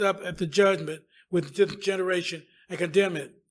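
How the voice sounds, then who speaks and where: A man speaks in a high pitch at a moderate pace. His intonation stays fairly even. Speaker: church member reading scripture and praying. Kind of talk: scripture reading and prayer. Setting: church.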